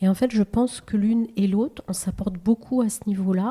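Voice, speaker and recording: A woman talks fairly quickly in a somewhat breathy voice, her pitch varying in an ordinary way. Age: 60s. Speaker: real estate agent. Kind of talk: casual interview chat.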